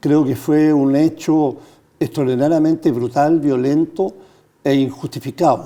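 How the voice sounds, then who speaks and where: In a dark, mellow tone, a man with a fairly high voice speaks at a fairly slow pace, with fairly even intonation and very even loudness. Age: 70s. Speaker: former constitutional convention member, retired journalist. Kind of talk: TV interview.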